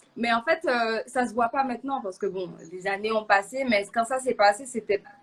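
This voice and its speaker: The woman's pitch sits fairly high. It shifts with ordinary variation. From Martinique. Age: 20s. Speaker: guest sharing faith testimony. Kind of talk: testimony. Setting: live online show. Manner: halting, many hesitations.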